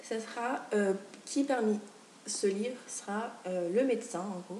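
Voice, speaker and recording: Over noticeable background noise and audible room echo, a woman with a fairly high pitch speaks at a very slow pace. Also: ordinary pitch variation. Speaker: booktuber. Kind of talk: casual video chat. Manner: animated.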